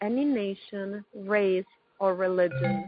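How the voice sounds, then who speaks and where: A woman of medium pitch speaks in a soothing, calm tone at a very slow pace. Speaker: spiritual practitioner leading meditation. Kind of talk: guided meditation. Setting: conference phone call. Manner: slow, soothing, calm and gentle; soft-spoken, measured pacing with pauses.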